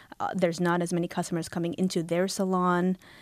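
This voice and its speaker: Moving at a moderate pace, the speaker has an unremarkable speaking voice. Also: woman, very clean recording, silent background. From Halifax, Nova Scotia, Canada. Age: 30s. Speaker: novelist. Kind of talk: author interview.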